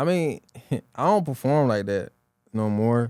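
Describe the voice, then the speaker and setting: Lively intonation runs through a man's dark, mellow voice as he talks at a very slow pace in a dry, close sound with no echo. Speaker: rapper and entrepreneur. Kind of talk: casual interview.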